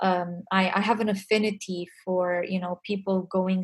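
In a Romanian accent, a woman speaks very slowly in a somewhat breathy, monotone, flat voice. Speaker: music industry community founder. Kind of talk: interview.

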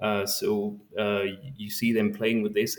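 A man's fairly low voice with a French accent and monotone, flat intonation. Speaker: science outreach volunteer. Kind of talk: interview. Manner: halting, repeats words.

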